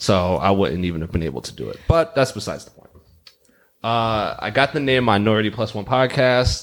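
A man with an ordinary speaking voice talks at a fairly quick pace in a fairly low pitch with lively intonation, captured on a very clean recording with a silent background. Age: 30s. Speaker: podcast host. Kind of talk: casual chat.

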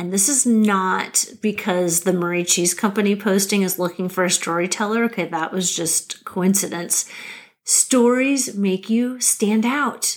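This is an ordinary speaking voice with an American accent. The pitch varies in an ordinary way. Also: woman, medium pitch for a woman. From Nebraska, US Midwest. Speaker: podcast host, career coach. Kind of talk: solo podcast monologue.

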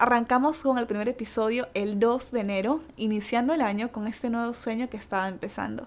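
In a plain, everyday voice, a woman talks at a fairly quick pace and fairly high pitch, with ordinary pitch variation and hardly any pauses. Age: 20s. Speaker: podcast host. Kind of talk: casual monologue.

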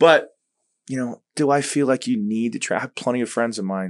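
A man at a very fast pace with ordinary pitch variation, against a quiet background. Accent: American. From Long Island, New York. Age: 40s. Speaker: jiu-jitsu instructor. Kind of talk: casual chat.

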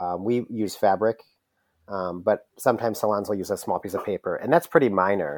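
A man with an ordinary speaking voice talks at a fairly quick pace with a fairly low pitch and ordinary pitch variation. The sound is dry and close with no echo, in a very clean recording with a silent background. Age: 30s. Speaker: hair salon owner. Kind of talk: casual interview.

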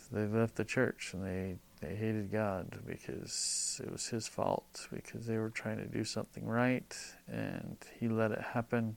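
Here is a man with an ordinary speaking voice at a medium pitch. His loudness swings widely. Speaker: podcast co-host. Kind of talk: casual chat.

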